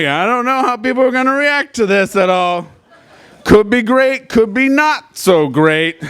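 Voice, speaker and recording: At a moderate pace, a man talks with an extremely high pitch. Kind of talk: live storytelling performance. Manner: casual, comedic.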